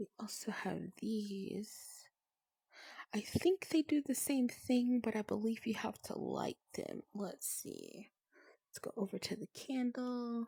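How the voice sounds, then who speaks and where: A soft-spoken woman's voice with a gentle tone, fairly high pitch and a very slow pace. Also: ordinary pitch variation. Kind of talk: soft-spoken ASMR gaming narration. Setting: recorded in a virtual reality social game while showing worlds. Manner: soft-spoken, gentle.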